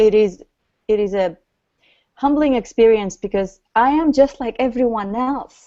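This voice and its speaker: A woman with a non-native accent talks at a fairly slow pace. Her fairly high pitch moves with ordinary variation. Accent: noticeable foreign. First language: not English. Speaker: author and grief coach. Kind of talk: interview.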